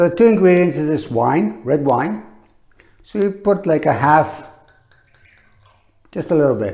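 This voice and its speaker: At a fairly slow pace, a man with a fairly high pitch makes very wide pitch swings and leaves long, frequent pauses. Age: 60s. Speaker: olive oil promoter. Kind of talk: product demonstration. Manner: casual, halting with fillers.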